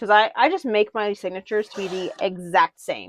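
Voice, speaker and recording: Against a quiet background, with a dry, close sound and no echo, a woman speaks in an unremarkable speaking voice at a fairly slow pace with ordinary pitch variation. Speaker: papercraft tutorial creator. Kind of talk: tutorial. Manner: casual, chatty. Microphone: mic issues.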